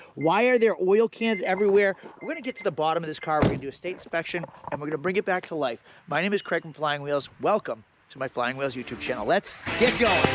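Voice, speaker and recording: A man at a high pitch and very fast pace, animated in tone, with lively intonation, big swings in loudness and noticeable background noise. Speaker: car flipper YouTuber. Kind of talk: vlog tutorial.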